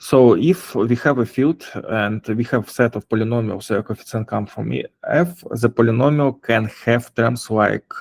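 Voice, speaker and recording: A man with a non-native accent at a fairly slow pace, the sound dry and close with no echo. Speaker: blockchain developer giving a lecture. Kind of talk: lecture. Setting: online session. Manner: halting, many fillers.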